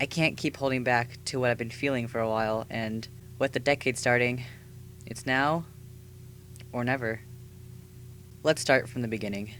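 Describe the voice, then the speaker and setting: A man at medium pitch, moderate pace, long and frequent pauses, music playing behind him. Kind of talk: scripted personal video essay narration. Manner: earnest, emotional.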